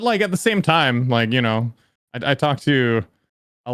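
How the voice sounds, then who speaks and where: An ordinary speaking voice with lively intonation is heard on a very clean recording with a silent background. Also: man. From Canada. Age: 30s. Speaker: YouTuber. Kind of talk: casual chat.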